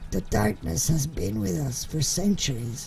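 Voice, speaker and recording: A raspy, put-on character voice from a man at medium pitch, with very wide pitch swings, a moderate pace and clear background noise. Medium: audio drama.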